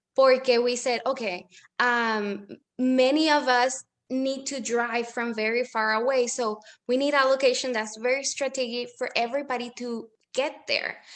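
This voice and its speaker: In a Spanish accent, a woman speaks at a moderate pace with a high pitch and monotone, flat intonation. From Puerto Rico. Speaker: small business owner. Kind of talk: interview. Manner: code-switching with hesitations.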